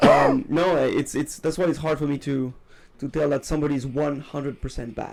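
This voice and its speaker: Speaking with a French accent, a man keeps his fairly high voice in a monotone, flat intonation. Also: fairly quick pace. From France or French-speaking region. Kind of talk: casual chat. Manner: halting.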